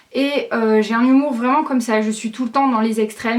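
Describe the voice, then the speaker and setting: A woman speaks at a moderate pace in a high voice. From southern France, Aix-en-Provence. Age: young. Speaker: YouTuber. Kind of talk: casual vlog to camera. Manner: hesitant, many fillers.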